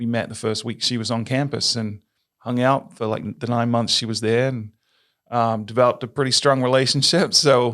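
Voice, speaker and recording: The recording is very clean, with a silent background. A man with an American accent speaks at a medium pitch with fairly even intonation. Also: moderate pace. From England. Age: 40s. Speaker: tourism marketing executive. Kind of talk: podcast interview.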